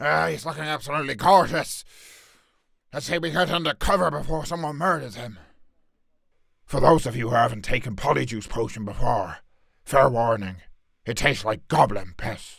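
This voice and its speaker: A man's put-on character voice at medium pitch, full of very wide pitch swings and long, frequent pauses. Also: moderate pace. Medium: solo performance. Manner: gruff, blunt.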